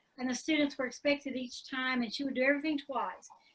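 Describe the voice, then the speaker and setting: In a Southern US accent, a woman speaks at a high pitch. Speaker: online teacher. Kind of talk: casual chat. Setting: video call.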